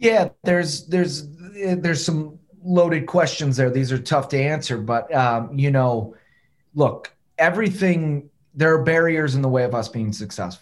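Somewhat breathy, a man speaks with an American accent at a fairly high pitch. His intonation is lively. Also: moderate pace. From Detroit, US Midwest. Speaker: soccer coach. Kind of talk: interview.

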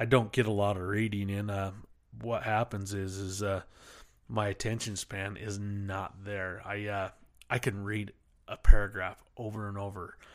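On a very clean recording with a silent background, a man with an American accent speaks at a fairly low pitch in a monotone, flat intonation, with big swings in loudness. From Uintah Basin, Utah. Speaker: podcast host. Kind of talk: solo casual rambling monologue. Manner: rambling, casual, filler-heavy.

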